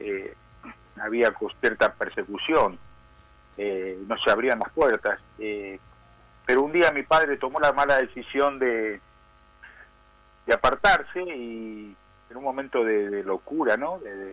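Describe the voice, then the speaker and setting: At a very slow pace with long, frequent pauses, a man speaks at a medium pitch in a bright, sharp tone, with lively intonation and big swings in loudness. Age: 60s. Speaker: prison pastor, former criminal. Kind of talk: testimony. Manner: halting, many fillers.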